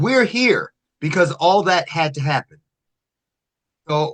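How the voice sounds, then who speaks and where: Very slow speech from a man, with very wide pitch swings. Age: 60s. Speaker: motivational speaker. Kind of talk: interview.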